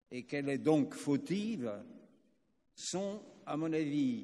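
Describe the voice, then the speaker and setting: With audible room echo, a man speaks at a very slow pace and a fairly high pitch, his intonation lively. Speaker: retired army colonel, international affairs consultant. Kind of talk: conference speech. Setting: conference with interpreters.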